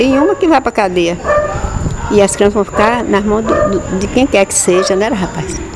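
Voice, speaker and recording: A woman speaks at a moderate pace with lively intonation over noticeable background noise. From Bahia, Brazil (Ipirá). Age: 80s+. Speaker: retired radio station employee. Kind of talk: oral history interview. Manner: halting, repetitive.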